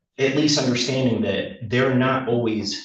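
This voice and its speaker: At a moderate pace, a man speaks at a medium pitch with audible room echo around his voice. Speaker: public commenter, electrician and homeless advocate. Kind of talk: public testimony at a court hearing. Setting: courtroom. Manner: halting, with many fillers.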